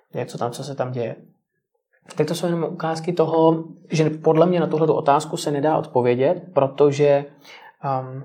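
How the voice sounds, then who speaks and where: A man's voice with a dark, mellow tone. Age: 20s. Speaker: journalist. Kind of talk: interview.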